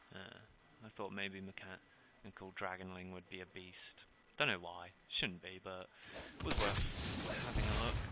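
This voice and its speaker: A man's mumbling at a very deep, low pitch, bright and sharp in tone, with fairly even intonation, big swings in loudness and a fairly slow pace. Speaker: gaming YouTuber. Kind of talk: gameplay commentary. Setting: home recording with webcam and headset.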